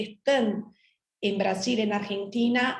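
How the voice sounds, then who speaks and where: A woman speaks with a Portuguese accent in a somewhat breathy voice. Her pace is fairly slow and her intonation fairly even. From Brazil. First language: Portuguese (speaking Spanish). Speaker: trade lawyer. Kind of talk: panel talk.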